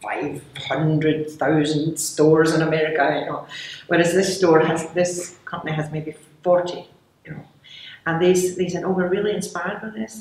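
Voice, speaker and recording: A woman with a Scottish accent speaks at a fairly low pitch with fairly even intonation and big swings in loudness, against noticeable background noise. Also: moderate pace. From Glasgow, Scotland. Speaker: candy company founder. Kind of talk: interview answer.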